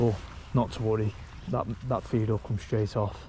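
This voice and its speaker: In a British accent, a man speaks at a moderate pace, his fairly low, somewhat breathy voice carrying a dark, mellow tone. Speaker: fishing vlogger. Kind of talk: casual vlog commentary. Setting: outdoors at a lake. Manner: monotone.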